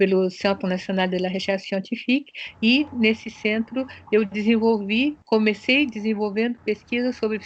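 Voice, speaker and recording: Fairly even intonation at a moderate pace. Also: woman. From Brazil, São Paulo (born in Japan). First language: Japanese (speaking Portuguese). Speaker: sociologist and researcher. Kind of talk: interview. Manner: hesitant, with fillers.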